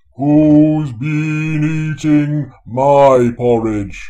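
This is a put-on character voice. It comes out loud. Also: man, fairly high pitch for a man.

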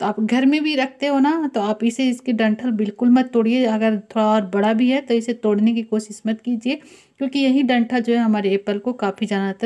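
Against a quiet background, a woman speaks at a moderate pace with fairly even intonation and a dark, mellow tone. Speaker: home cooking tips creator. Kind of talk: tutorial.

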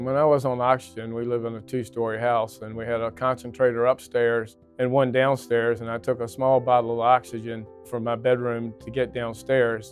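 A man speaks in a flat monotone over faint background music, the sound dry with no echo. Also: moderate pace. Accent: American. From Virginia, US. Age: 60s. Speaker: lung transplant patient. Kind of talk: interview answer. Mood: calm, reflective. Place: hall. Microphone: lapel.

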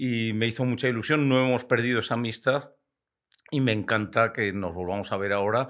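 Over a quiet background, a man holds a moderate pace and keeps his intonation fairly even. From Spain, Castile (Valladolid); Castile, Spain. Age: 60s. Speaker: retired biologist and hunting broadcaster; podcast guest. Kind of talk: podcast interview. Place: studio. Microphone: studio mic.

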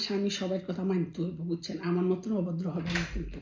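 This woman's voice sits at medium pitch, with a dark, mellow tone, a somewhat breathy quality and fairly even intonation. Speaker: family vlogger. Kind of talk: casual vlog monologue. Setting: bedroom at home. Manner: chatty, conversational.

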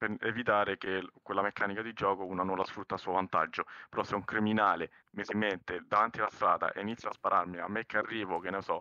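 A man speaks with a fairly low pitch and flat, monotone intonation. The sound is dry and close, with no echo. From Italy. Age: 30s. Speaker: roleplay server applicant. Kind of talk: interview. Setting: voice chat.

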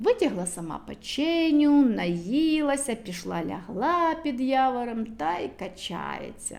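A woman speaks at a fairly slow pace in a fairly high pitch, with vocal fry and big pitch swings. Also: slightly mellow tone.

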